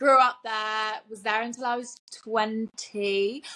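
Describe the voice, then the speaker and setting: A woman with a fairly high voice and a British accent. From southern England, Winchester. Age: 20s. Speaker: podcast co-host. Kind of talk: casual chat.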